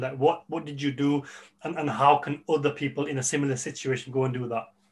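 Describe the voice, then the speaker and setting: A man with a fairly high pitch talks at a fairly quick pace in a normal speaking voice. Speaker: podcast host. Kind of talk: podcast interview.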